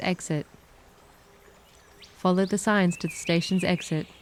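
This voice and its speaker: An Australian woman at a medium pitch speaks in a calm tone with monotone, flat intonation, with an Australian accent. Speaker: English teacher. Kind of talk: English vocabulary lesson read. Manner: slow, calm, soft.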